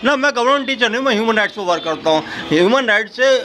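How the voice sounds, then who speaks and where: Amid noticeable background noise, a man speaks in a raised, projected voice with lively intonation. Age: 60s. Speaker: human rights activist. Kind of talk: street interview.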